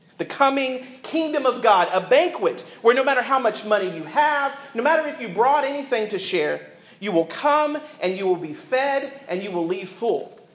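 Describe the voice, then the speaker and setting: Extremely high in pitch, a man talks at a moderate pace with very wide pitch swings. Audible room echo and noticeable background noise are present. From US South. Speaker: pastor. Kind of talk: sermon. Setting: church.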